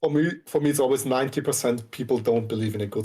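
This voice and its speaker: A man with a German accent speaks at a medium pitch over noticeable background noise. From Austria. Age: 20s. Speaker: Twitch streamer. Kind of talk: casual chat.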